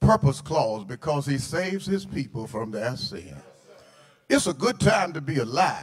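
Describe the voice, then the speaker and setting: A man at a moderate pace with very wide pitch swings. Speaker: guest preacher. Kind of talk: sermon. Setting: church. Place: church. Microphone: handheld.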